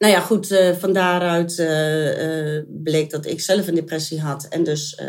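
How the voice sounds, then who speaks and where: Very slowly and with fairly even intonation, a woman speaks at a fairly low pitch. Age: 50s. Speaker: mother and foster parent. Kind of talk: interview.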